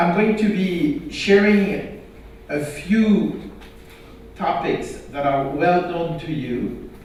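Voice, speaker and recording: A man speaks at a very slow pace in a high pitch. Background noise is noticeable. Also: lively intonation. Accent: non-native. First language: not English. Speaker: health IT standards expert. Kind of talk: conference talk.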